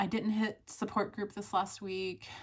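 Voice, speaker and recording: The speaker is a woman with a somewhat breathy voice. Her pitch is medium. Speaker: vlogger. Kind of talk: casual vlog update. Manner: conversational, some hesitations.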